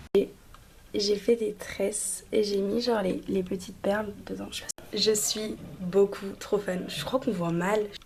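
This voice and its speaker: A woman speaks at a very slow pace with monotone, flat intonation. Noticeable background noise sits behind her. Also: medium pitch for a woman. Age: 20s. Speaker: vlogger. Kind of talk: casual vlog chat. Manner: casual, filler-heavy.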